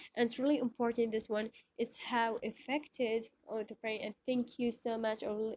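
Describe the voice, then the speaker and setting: A woman's fairly high, monotone voice with flat intonation, at a moderate pace, in a dry, close sound with no echo, with an Iraqi accent. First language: Arabic. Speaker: teacher. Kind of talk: lecture. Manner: halting, many fillers.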